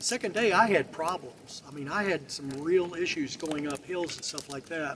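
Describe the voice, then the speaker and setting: Moderate pace, ordinary pitch variation and big swings in loudness over noticeable background noise. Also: man, high pitch for a man. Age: 70s. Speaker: military veteran hiker. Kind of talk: casual interview. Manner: halting, with many repeated words.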